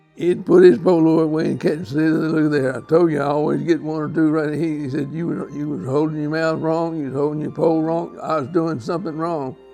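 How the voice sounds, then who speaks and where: Fairly quick speech with music in the background. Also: man. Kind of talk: interview answer.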